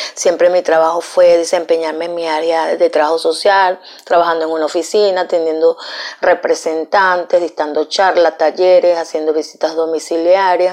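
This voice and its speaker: The woman's voice sits at a fairly low pitch. She talks at a moderate pace with monotone, flat intonation. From Venezuela. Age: 50s. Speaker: domestic worker. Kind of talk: testimony.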